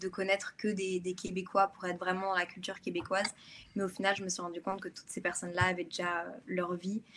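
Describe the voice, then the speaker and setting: The speech comes at a fairly quick pace in a bright, sharp tone, with monotone, flat intonation throughout. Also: woman. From France/Belgium. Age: 20s. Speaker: content creator, student. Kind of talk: online conference interview.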